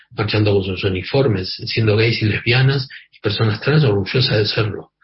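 A man speaks at a fairly low pitch. His voice is somewhat breathy. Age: 50s. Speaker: activist and journalist. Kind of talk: radio interview.

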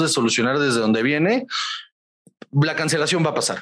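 A man's fairly high, lively voice, an ordinary speaking voice. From Guaymas, Sonora, northern Mexico. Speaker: stand-up comedian. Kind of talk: casual interview.

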